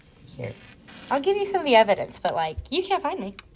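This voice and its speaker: The voice is a woman's. She talks at a fairly quick pace. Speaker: podcast co-host. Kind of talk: casual chat. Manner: stuttering, halting; filler-heavy, many likes.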